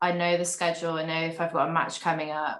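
A woman with a British accent, a fairly low pitch, and monotone, flat intonation. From Britain. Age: 20s. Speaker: professional tennis player. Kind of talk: casual chat.

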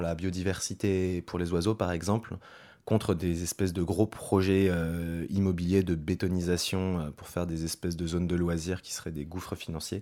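A man talks with a very deep, low pitch and fairly even intonation, at a moderate pace. The background is silent in a very clean recording. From western France, Loire-Atlantique. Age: 30s. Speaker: colleague who moved to the countryside. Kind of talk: interview testimony. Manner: casual, halting.

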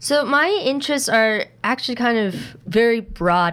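A woman with an American accent uses a normal speaking voice at a moderate pace with lively intonation. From rural eastern Oregon. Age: 20s. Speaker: first-year PhD student. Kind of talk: casual interview.

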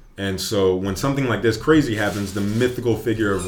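Audible room echo surrounds a man's fairly low voice. He speaks at a fairly quick pace. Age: 20s. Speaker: guest comic book fan. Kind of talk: casual chat.

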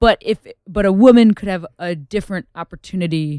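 Recorded very cleanly against a silent background, with a dry, close sound and no echo, a woman with an American accent and an unremarkable speaking voice speaks at medium pitch with fairly even intonation. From US Midwest, Chicago suburbs. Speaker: stand-up comedian. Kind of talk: casual chat.

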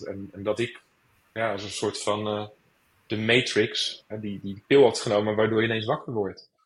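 At a moderate pace, a man talks in a fairly low pitch with a somewhat breathy voice. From Rotterdam, Netherlands. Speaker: author. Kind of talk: interview. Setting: online recording.

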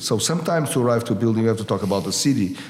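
With noticeable background noise behind him, a man in a Portuguese accent speaks at medium pitch with lively intonation. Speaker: architect. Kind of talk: interview conversation. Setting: architect's atelier. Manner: halting, with repetitions.

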